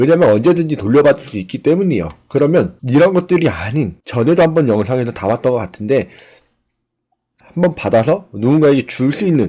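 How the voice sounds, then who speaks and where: A man with a dark, mellow tone talks at a fairly quick pace, his pitch swinging very widely. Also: fairly high pitch for a man. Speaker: online seller and YouTuber. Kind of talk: screen-recorded tutorial. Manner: conversational with fillers.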